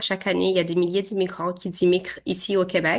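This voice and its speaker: A woman talks at medium pitch. The background is quiet. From Quebec, arrived from Syria at 7. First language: Arabic (speaking French). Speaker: interviewee, immigrant computer science graduate. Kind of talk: interview. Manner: hesitant, many fillers.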